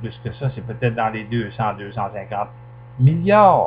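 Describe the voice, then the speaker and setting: With a Quebec accent, a man speaks at a medium pitch. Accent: Québécois French. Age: 70s. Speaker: political commentator. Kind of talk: political monologue. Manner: animated.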